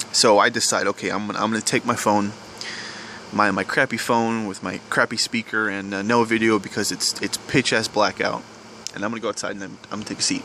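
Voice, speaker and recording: A man with an American accent speaks quietly in a fairly low voice, monotone and flat. He goes at a very fast pace over noticeable background noise. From US South. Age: young. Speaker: vlogger. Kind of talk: personal confession vlog. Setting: outdoors at night. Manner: halting.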